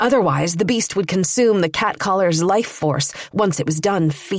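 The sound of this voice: Ordinary variation in pitch from an unforced reading voice.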